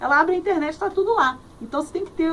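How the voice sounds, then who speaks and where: A woman races along at a very fast pace with lively intonation amid noticeable background noise. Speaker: radio host and journalist. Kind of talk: interview answer. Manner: cheerful, friendly.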